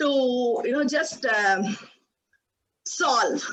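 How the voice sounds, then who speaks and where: A woman with a high pitch speaks loudly and at a very slow pace. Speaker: project management speaker. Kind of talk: presentation. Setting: video call. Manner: halting.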